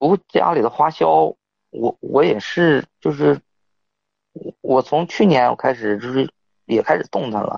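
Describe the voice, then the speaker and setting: Speaking fairly slowly with long, frequent pauses, a man uses vocal fry at medium pitch, his pitch swinging very widely. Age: 30s. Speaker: caller. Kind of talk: phone-in advice call. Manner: halting.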